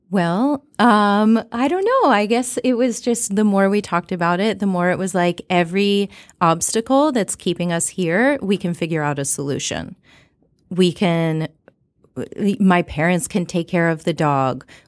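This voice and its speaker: In an ordinary speaking voice, a woman talks at a fairly slow pace with medium pitch and lively intonation, on a very clean recording with a silent background. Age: 30s. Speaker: health coach. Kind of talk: interview conversation.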